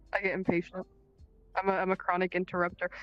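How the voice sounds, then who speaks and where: A woman at medium pitch, talking very fast, in a dry, close sound with no echo, music in the background. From Cuba, then United States from about age ten. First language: Spanish. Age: 20s. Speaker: vtuber guest. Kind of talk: casual chat.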